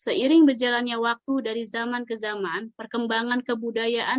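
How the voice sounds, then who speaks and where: A plain, everyday voice, fairly even in intonation and moderate in pace. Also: woman. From Jakarta (Betawi). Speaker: civil servant trainee. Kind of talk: scripted podcast discussion.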